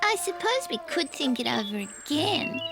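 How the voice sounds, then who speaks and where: A high-pitched, put-on character voice goes at a moderate pace over clear background noise. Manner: whispering.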